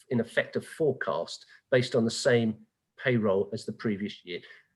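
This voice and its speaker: The speaker is a man. He talks with a British accent. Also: quiet background. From England. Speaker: tax advisor. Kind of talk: webinar Q&A.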